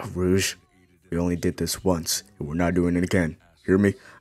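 A man's put-on character voice, very deep and low in pitch, in monotone, flat intonation at a moderate pace. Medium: fan dub. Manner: smug, sarcastic, deadpan.

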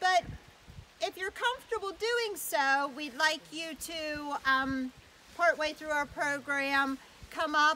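A woman's raised, projected voice at a very slow pace, with ordinary pitch variation and light background noise. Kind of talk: public address to a small crowd. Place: forest.

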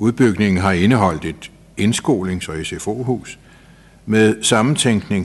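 With a normal speaking voice, a man uses a fairly low pitch, ordinary pitch variation and a fairly slow pace over light background noise. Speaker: council chair. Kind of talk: formal report reading. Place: meeting room. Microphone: podium.

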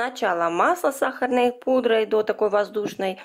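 Here a woman talks at a moderate pace with a fairly high pitch. Her pitch varies in an ordinary way.

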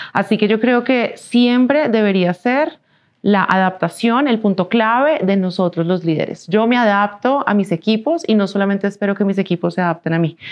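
A woman with a Colombian accent at a moderate pace, her loudness very even and her pitch variation ordinary, over a quiet background. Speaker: business executive; interviewee. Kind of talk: interview. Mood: calm, reflective. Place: studio. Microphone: lapel.

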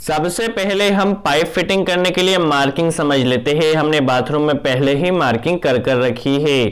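Spoken at a fairly slow pace with ordinary pitch variation, the clip has a quiet background. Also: man. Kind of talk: tutorial. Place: bathroom. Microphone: phone near.

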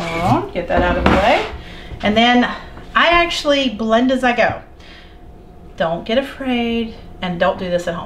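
A woman speaks while background noise is noticeable. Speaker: homesteading cooking video host. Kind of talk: cooking tutorial. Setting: home kitchen. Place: kitchen.

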